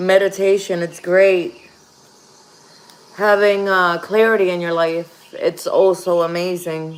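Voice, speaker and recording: A woman with a Puerto Rican accent speaks at a very slow pace in a monotone, flat intonation, with noticeable background noise behind her. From Puerto Rico. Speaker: tarot reader. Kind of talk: livestream tarot reading. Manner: casual.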